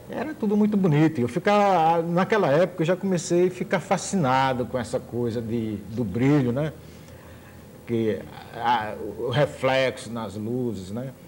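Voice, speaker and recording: Pitched fairly high, a man speaks at a fairly slow pace. His voice moves in very wide pitch swings. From Brazil, Sergipe. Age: 50s. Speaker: musician and visual artist. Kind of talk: TV interview.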